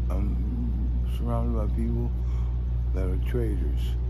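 A man's voice comes through dry and without echo amid loud background noise. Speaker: homeless man. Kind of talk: interview answer. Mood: weary, emotional, earnest. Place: street. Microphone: phone near.

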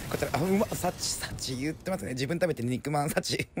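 A man's playful, very fast speech over noticeable background noise. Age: 30s. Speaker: apparel store staff. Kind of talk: comedic voice-over commentary. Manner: playful, jokey.

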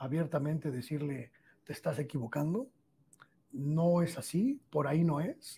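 Pausing long and often, a man with a fairly high pitch and a dark, mellow tone speaks at a fairly slow pace with ordinary pitch variation. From Mexico. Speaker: journalist. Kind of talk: interview. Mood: animated, emphatic storytelling. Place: studio. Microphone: lapel.

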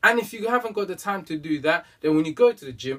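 Against a quiet background, a man talks at a fairly quick pace with lively intonation. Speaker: fitness vlogger. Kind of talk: casual vlog advice. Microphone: camera far.

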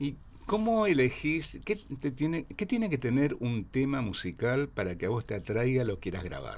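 A man with a Rioplatense accent speaks with vocal fry and very wide pitch swings. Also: moderate pace. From Argentina. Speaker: radio host. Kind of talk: interview; interview questions. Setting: studio. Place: studio. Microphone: studio mic.

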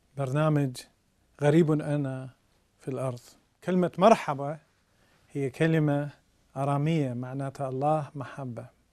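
A man with an Iraqi accent talks at a fairly slow pace, his pitch fairly high and his intonation fairly even. He leaves long, frequent pauses against a quiet background. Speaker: priest. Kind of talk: religious teaching talk. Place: studio. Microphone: lapel.

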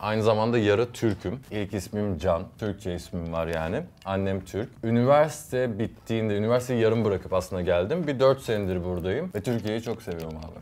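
A man speaks at a fairly low pitch with lively intonation. He barely pauses at all. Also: fairly quick pace. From US and Izmir, Turkey; United States. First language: English and Turkish (speaking Turkish). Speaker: youtuber and musician; youtuber. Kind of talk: casual chat. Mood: relaxed, friendly. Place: studio.

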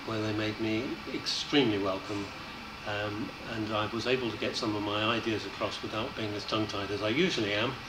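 There is noticeable background noise. A man talks at a moderate pace. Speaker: election candidate. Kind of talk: interview answer. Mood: pleasant, reflective.

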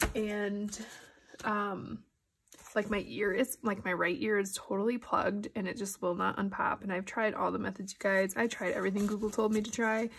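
This woman sounds nasal, with a slightly husky edge, vocal fry and fairly even intonation. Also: medium pitch for a woman, moderate pace.

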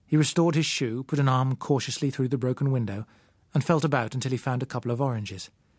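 Someone is reading aloud in a natural voice. The words are read out rather than spoken off the cuff.

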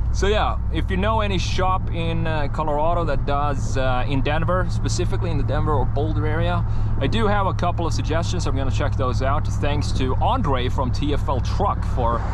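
A man speaks with hardly any pauses over loud background noise. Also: moderate pace, dry sound with no echo. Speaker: truck owner vlogger. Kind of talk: casual vlog chat. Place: car. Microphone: camera far.

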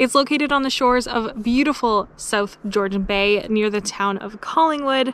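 A woman's fairly quick speech with ordinary pitch variation, dry and echo-free, over light background noise. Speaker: travel vlogger. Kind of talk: casual vlog chat. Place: open country.

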